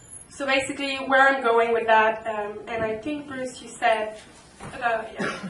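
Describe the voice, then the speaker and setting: A woman with a French-Canadian accent, fairly high-pitched and fairly slow, with fairly even intonation, audible room echo and noticeable background noise. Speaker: union president. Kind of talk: panel talk. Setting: public panel discussion at a library. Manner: halting, many fillers.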